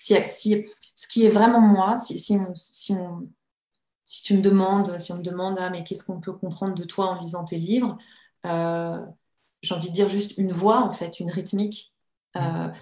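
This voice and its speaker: A woman's medium-pitched, somewhat breathy voice with a dark, mellow tone, monotone, flat intonation, a moderate pace, big swings in loudness, and long, frequent pauses. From France, Annecy (Haute-Savoie). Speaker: novelist and writing teacher. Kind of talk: interview. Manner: hesitant, many fillers and repetitions.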